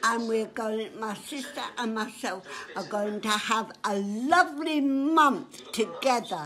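A woman's fairly high voice, very slow in pace, lively in intonation, with light background noise. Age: 80s+. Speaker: elderly woman giving a message. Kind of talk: casual interview answer. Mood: warm, cheerful. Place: home room. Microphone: phone near.

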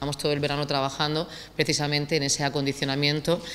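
A woman's very deep, low voice carries a bright, sharp tone. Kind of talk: press statement. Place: hall. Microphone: podium.

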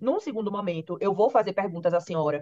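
A woman talks at a very fast pace with ordinary pitch variation over a quiet background. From Brazil. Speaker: judge. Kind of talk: court hearing. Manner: formal. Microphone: video call.

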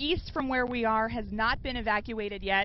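A woman at a moderate pace, dry sound with no echo, and light background noise. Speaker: field news reporter. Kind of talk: live news report. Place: street. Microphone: handheld.

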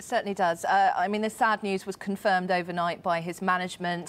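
The woman's intonation stays fairly even as she talks fairly quickly. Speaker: news reporter. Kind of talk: news report. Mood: sombre, measured. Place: studio. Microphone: lapel.

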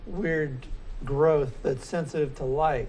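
Against light background noise, a man speaks fairly slowly with fairly even intonation. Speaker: philosophy lecturer. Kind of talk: lecture. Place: classroom. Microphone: camera far.

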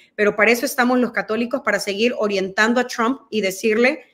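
A woman with a fairly high pitch and fairly even intonation, talking at a fairly quick pace. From El Salvador. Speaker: guest commentator. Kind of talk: interview Q&A. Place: home room.

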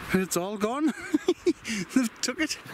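A man talks at a moderate pace with very wide pitch swings. Noticeable background noise is present, and the sound is dry with no echo. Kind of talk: casual vlog chat. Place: forest. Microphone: phone near.

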